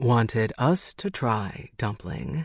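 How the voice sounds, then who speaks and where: A man puts on a character voice at a medium pitch, with a quiet background behind him. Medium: read story. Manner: cocky, teasing.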